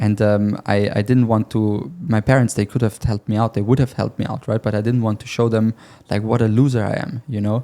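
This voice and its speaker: A man with a German accent speaks fairly quickly at a fairly low pitch, his tone dark and mellow and his intonation fairly even, on a very clean recording with a silent background. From Germany. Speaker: sales closer. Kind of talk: casual interview. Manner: halting.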